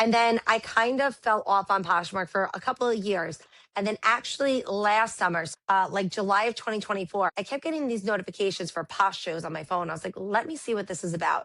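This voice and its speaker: A loud woman with a New York accent, medium pitch, ordinary pitch variation and a bright, sharp tone, at a fairly quick pace over a quiet background. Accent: New York Brooklyn. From Brooklyn, New York. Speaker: live seller and teacher. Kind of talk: casual interview chat.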